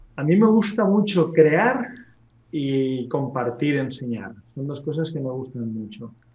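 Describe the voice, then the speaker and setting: The speech moves at a fairly slow pace with lively intonation and big swings in loudness. Noticeable background noise and audible room echo fill the recording. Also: man, fairly high pitch for a man. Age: 30s. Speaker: real estate investor. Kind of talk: interview.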